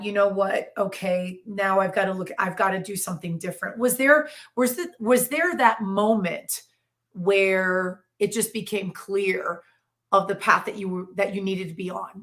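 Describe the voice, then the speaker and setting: A woman speaks in a normal speaking voice at a moderate pace, her medium pitch rising and falling with ordinary variation. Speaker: talk show host. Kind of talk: interview questions.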